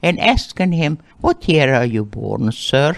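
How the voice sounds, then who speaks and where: A woman's very deep, low voice with vocal fry at a moderate pace, set against a quiet background. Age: 80s+. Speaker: Holocaust survivor. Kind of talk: interview testimony.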